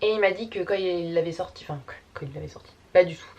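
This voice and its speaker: A woman with a fairly low pitch talks at a very fast pace with fairly even intonation over noticeable background noise. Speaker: YouTuber. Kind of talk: casual vlog. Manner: filler-heavy, many euh.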